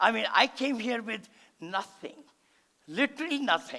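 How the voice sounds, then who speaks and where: At a fairly slow pace, a man speaks in a raised, projected voice, extremely high in pitch, with a bright, sharp tone and an animated delivery. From India. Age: 70s. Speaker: real estate investor and motivational speaker. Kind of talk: seminar talk. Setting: stage with audience.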